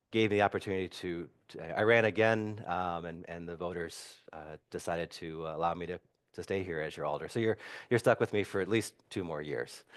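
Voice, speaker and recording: Against a quiet background, a man with a very deep, low pitch speaks at a fairly quick pace with fairly even intonation and big swings in loudness. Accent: Upper Midwest. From Wisconsin, Madison. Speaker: city council member. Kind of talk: community talk. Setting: church hall with audience. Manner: halting, many repetitions and fillers.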